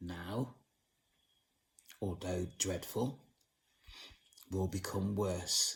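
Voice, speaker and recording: A man's very deep, low pitch, somewhat breathy, at a very slow pace with long, frequent pauses, fairly even intonation and very even loudness. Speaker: channel owner speaking on the supernatural and witchcraft. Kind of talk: monologue to camera. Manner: slow, deliberate.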